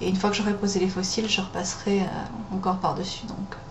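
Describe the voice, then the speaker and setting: A woman at medium pitch and a moderate pace, with noticeable background noise. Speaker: makeup tutorial host. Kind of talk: makeup tutorial talk to camera. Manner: hesitant, many fillers.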